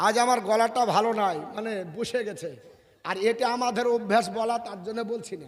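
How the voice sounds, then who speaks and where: Through audible room echo, a man with a high pitch speaks with fairly even intonation and big swings in loudness. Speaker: Islamic preacher. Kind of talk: sermon.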